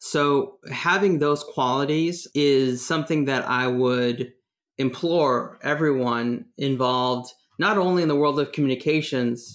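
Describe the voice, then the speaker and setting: A man with a Californian accent and a fairly high pitch speaks with ordinary pitch variation on a very clean recording with a silent background. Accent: American (Californian). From Northern California, US. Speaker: communications executive, former journalist and diplomat. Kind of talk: interview.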